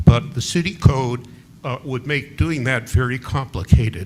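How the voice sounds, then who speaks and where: Noticeable background noise sits behind a man talking at a fairly slow pace. His pitch is medium. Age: 80s+. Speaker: local resident. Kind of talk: public comment at city meeting. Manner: halting.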